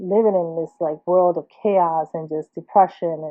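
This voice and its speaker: A woman talks at a fairly slow pace. Her pitch is fairly low and her intonation fairly even. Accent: New Jersey. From Trenton, New Jersey, US. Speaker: artist. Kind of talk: personal monologue. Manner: halting, self-admitted stuttering.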